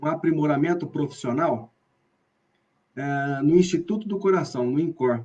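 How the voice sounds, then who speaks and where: Dark, mellow tone from a man with a fairly high pitch and ordinary pitch variation, at a moderate pace, broken by long, frequent pauses. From Brazil, Bauru, interior of São Paulo state. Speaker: professor of physical education. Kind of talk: online lecture (live stream). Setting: live video stream.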